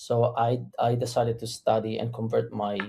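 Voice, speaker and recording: Speaking at a medium pitch, a man talks with an Italian accent. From Italy. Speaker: immigration lawyer. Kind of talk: interview.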